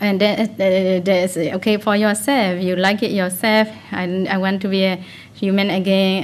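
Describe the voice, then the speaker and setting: A woman with an ordinary speaking voice talks fairly slowly at a medium pitch. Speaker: Buddhist meditation teacher. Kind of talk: dharma talk. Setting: meditation retreat.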